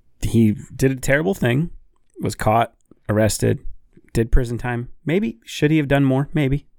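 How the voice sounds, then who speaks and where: A man speaks in a plain, everyday voice at medium pitch. His pace is moderate and his pitch variation ordinary. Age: 20s. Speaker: podcast host. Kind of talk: casual chat. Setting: studio.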